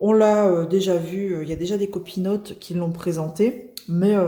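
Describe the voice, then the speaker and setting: A woman talks at a fairly slow pace in a medium pitch, her intonation fairly even. Noticeable background noise sits behind her. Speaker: crafts youtuber. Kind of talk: unboxing video. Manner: casual, hesitant with many fillers.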